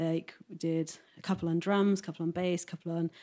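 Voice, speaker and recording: A woman speaks at a moderate pace in a dark, mellow tone. Her intonation stays monotone and flat. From West Midlands, England. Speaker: record label owner. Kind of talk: casual interview chat. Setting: at home.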